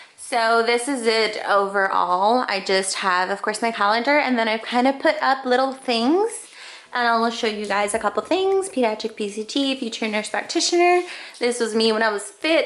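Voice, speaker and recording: A woman with a fairly high pitch talks at a moderate pace, her intonation lively, as noticeable background noise plays. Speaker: nursing student vlogger. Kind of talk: casual vlog. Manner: animated.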